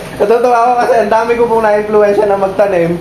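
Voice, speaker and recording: Someone talks at a fairly quick pace in monotone, flat intonation, with audible room echo and noticeable background noise. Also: man. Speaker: farming vlogger. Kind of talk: casual chat. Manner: loud.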